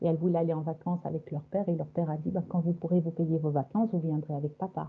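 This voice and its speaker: The woman here has a fairly low-pitched voice. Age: 60s. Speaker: hypnosis session client. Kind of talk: personal testimony. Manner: halting.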